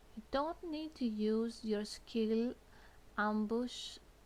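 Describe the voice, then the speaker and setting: Very slow pace with ordinary pitch variation. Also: woman. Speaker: gamer giving game walkthrough. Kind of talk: game tutorial voice-over.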